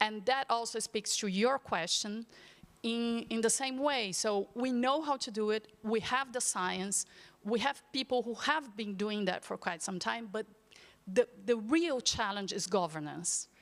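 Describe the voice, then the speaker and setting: With a Portuguese accent, a woman talks at a fairly slow pace, her fairly high pitch showing ordinary variation. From Brazil. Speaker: panelist, agriculture policy expert. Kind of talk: panel discussion. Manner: halting.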